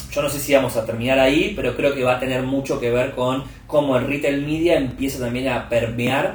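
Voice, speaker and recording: A man with an Argentine accent at medium pitch and moderate pace, with audible room echo and noticeable background noise. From Argentina. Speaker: media executive at a tech company. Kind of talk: interview conversation.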